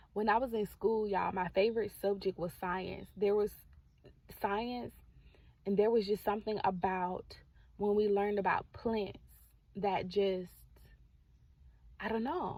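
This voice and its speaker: A woman talks in a soft-spoken way at a medium pitch. Her intonation is fairly even and her pace fairly slow. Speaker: faith content creator. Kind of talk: prophetic encouragement vlog. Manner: calm, soft.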